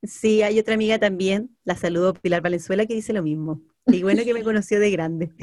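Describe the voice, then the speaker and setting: This woman has an unremarkable speaking voice at medium pitch, moving at a fairly quick pace with ordinary pitch variation. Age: 30s. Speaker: podcast co-host. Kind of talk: casual chat.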